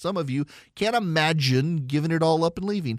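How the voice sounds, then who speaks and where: In a dry, close sound with no echo, a man with an American accent speaks with lively intonation. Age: 40s. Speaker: political talk radio host. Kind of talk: call-in talk radio monologue.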